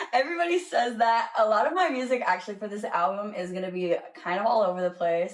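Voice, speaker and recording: A woman with an American accent speaks at a very fast pace, with hardly any pauses, in a fairly high pitch. Her pitch swings very widely, and there is noticeable background noise. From US South. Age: 20s. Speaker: singer-songwriter. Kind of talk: casual interview chat.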